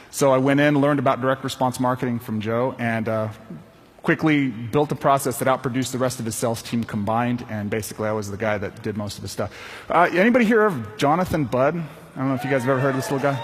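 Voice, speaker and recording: Music plays in the background as a man talks at a very fast pace. His pitch is medium, with ordinary variation. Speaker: sales trainer. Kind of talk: conference talk. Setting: stage with audience. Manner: animated.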